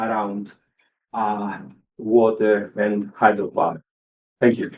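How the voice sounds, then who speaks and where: A man with a Greek accent speaks at a very slow pace and medium pitch. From Greece. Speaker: engineering professor. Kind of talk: panel introduction. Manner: halting, many fillers.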